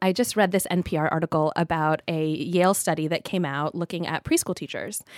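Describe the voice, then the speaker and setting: In an unremarkable speaking voice, a woman with an American accent talks at a fairly quick pace and fairly low pitch, her intonation fairly even, with a dry, close sound, no echo, and a very clean recording on a silent background. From Southern California. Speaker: lawyer. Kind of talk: casual chat.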